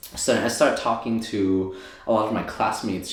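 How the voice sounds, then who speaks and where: With a Thai accent, a man speaks at a moderate pace and a fairly low pitch, with audible room echo. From Thailand, moved to US at nine. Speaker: optometrist and DJ. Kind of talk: interview, casual chat. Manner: casual, many fillers.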